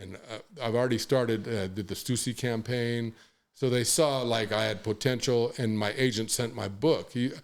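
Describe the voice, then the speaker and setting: Fairly even intonation from a man, medium in pitch, delivered at a moderate speed. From Los Angeles, US West Coast. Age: 60s. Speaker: hip-hop photographer. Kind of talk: podcast interview, casual storytelling. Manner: halting, many fillers and restarts.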